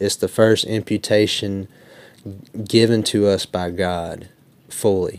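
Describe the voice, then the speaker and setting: Speaking very slowly with long, frequent pauses, a man with an Alabama accent uses a fairly low, monotone, flat voice, the sound dry and close with no echo in a very clean recording with a silent background. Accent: Southern US (Alabama). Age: 20s. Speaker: debater. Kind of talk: formal debate opening statement.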